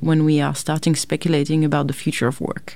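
A woman's very deep, low voice in a French accent, dark and mellow in tone, at a fairly quick pace. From France, suburbs of Paris. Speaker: philosophy professor. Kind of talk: interview.

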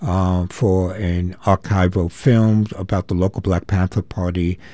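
A man with a very deep, low pitch and a dark, mellow tone talks at a fairly slow pace with fairly even intonation on a very clean recording with a silent background. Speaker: radio host. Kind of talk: live talk radio hosting. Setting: studio.

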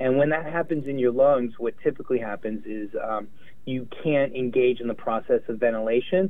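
With an American accent, a man talks in an unremarkable speaking voice at medium pitch. His pace is moderate and his pitch varies in an ordinary way. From US West Coast, Los Angeles. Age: 50s. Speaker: infectious diseases doctor. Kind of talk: interview.

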